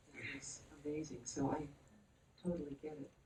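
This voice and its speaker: Her voice dark and mellow, a woman sounds somewhat breathy, with ordinary pitch variation. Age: 70s. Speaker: author. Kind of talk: panel discussion.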